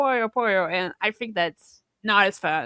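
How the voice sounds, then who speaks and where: With a Portuguese accent, a woman speaks in a bright, sharp tone with ordinary pitch variation, in a dry, close, very clean recording with a silent background and no echo. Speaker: podcast co-host. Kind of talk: casual chat.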